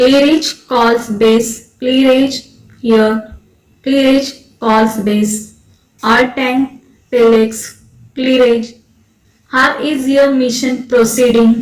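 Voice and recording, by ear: Putting on a robotic character voice, a woman speaks very slowly at a high pitch.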